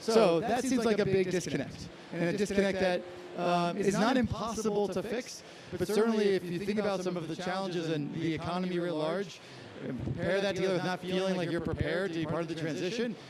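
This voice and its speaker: Over noticeable background noise and audible room echo, a man talks very fast in a high voice with ordinary pitch variation. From Scotland. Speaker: panelist from a professional networking company. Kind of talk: panel discussion.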